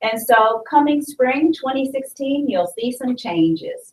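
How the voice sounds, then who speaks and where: She speaks in a woman's voice. It is loud. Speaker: university librarian. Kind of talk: presentation. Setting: live stream.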